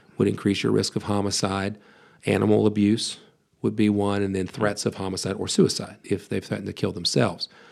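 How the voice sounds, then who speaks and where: A man with an American accent speaks at a fairly low pitch. His delivery is monotone and flat, at a fairly quick pace. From US, West Virginia. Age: 40s. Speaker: pastor and biblical counselor. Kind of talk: podcast interview.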